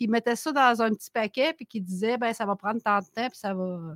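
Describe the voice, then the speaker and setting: On a very clean, dry and close recording with a silent background and no echo, a woman speaks in a bright, sharp tone with lively intonation. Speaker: animal shelter founder. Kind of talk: casual chat.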